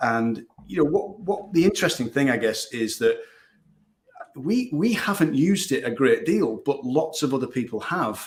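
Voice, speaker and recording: A man speaks with a Northern English accent. His intonation is lively. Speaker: digital marketing agency owner. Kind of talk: podcast interview.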